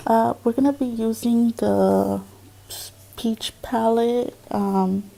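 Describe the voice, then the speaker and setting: A woman talks at a very slow pace while noticeable background noise continues. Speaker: beauty vlogger. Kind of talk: makeup tutorial voiceover. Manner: hesitant, many fillers.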